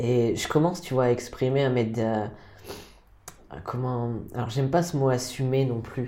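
Amid noticeable background noise and audible room echo, a man of medium pitch speaks at a moderate pace with fairly even intonation and long, frequent pauses. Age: 30s. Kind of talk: casual interview. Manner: halting, with repetitions.

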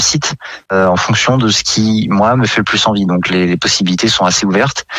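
A man speaks at a fairly low pitch with a plain, everyday voice. His intonation is fairly even. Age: 20s. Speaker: gas technician apprentice. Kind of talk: radio interview.

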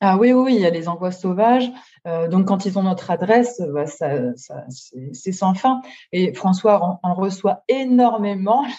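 With a dark, mellow tone and a somewhat breathy quality, a woman speaks at medium pitch and a fairly slow pace, her intonation lively. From northern France (Nord-Pas-de-Calais). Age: 30s. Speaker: book influencer. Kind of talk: interview. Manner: hesitant, many fillers.

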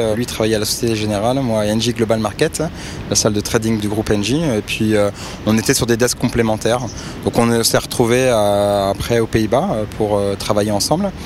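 The speaker keeps a moderate pace and fairly even intonation over noticeable background noise. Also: man, medium pitch for a man. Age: 40s. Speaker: startup co-founder and CEO in energy brokerage. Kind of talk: interview. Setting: outdoors by a river.

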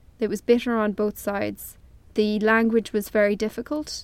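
A woman with an Irish accent, fairly high in pitch, flat and monotone. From Ireland. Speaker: journalist. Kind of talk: interview. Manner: hesitant, many fillers.

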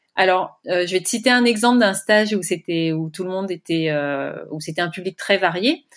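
A woman with a plain, everyday voice speaks at a medium pitch and moderate pace with hardly any pauses, on a very clean recording with a silent background. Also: ordinary pitch variation. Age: 40s. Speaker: entrepreneur, founder of burnout retreats. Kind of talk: interview conversation.

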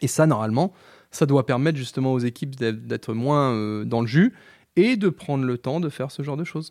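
In a very clean recording with a silent background and a dry, close sound without echo, a man with a fairly high voice speaks at a moderate pace and ordinary pitch variation. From Vendée, western France (Les Sables-d'Olonne). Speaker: chartered accountant, firm owner. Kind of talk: casual interview. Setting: in person. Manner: hesitant, many fillers and repetitions.

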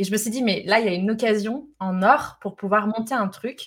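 A woman with a somewhat breathy voice talks at a medium tempo, her pitch varying in an ordinary way. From France, Lyon. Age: 30s. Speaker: entrepreneur, organisation expert. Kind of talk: casual chat; monologue. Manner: animated.

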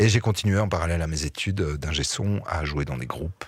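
At a moderate pace, a man speaks in a very deep, low voice that is somewhat breathy, with ordinary pitch variation. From Belgium, Liège region. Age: 40s. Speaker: actor and musician. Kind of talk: interview. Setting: studio.

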